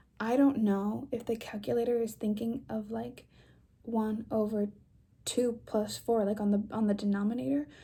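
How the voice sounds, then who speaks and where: Soft-spoken and somewhat breathy, a woman talks at a fairly slow pace with a fairly high pitch and fairly even intonation. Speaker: ASMR creator. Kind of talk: ASMR what's-in-my-bag chat to camera. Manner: soft-spoken, casual.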